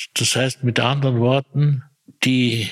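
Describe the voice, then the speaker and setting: Flat and monotone, a man speaks in a Viennese accent, the sound dry and close with no echo. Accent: Viennese Austrian German. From Austria, Vienna area. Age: 80s+. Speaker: retired personnel manager. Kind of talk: interview. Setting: echoey room.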